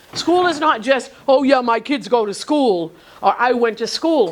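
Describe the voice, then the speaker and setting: Over noticeable background noise, a woman talks at a fairly slow pace in a high pitch, her animated tone swinging very widely in pitch. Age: 70s. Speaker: teacher, workshop instructor. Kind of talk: classroom lecture. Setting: classroom with live students.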